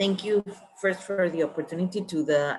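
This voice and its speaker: A woman talks with a Spanish accent and ordinary pitch variation. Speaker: architect and professor. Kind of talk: webinar presentation.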